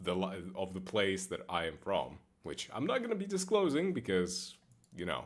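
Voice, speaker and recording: Lively intonation from a man at a moderate pace. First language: not English. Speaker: game streamer. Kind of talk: casual gaming stream chat. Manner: occasional slurring; casual, halting with repetitions.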